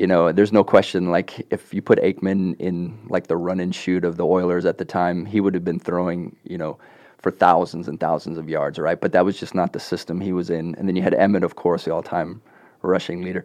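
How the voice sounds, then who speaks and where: A man's very deep, low voice, monotone and flat, at a fairly quick pace against a quiet background. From grew up overseas: South Africa, Hong Kong, Singapore; moved to US as teen. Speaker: sports fan guest. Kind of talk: casual chat. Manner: hesitant, many fillers.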